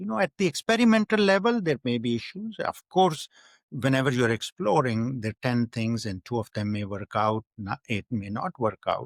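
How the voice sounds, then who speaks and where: A man at medium pitch with very wide pitch swings and a moderate pace, in a very clean recording with a silent background and a dry, close sound with no echo. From Pakistan. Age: 60s. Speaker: university founder. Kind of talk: interview.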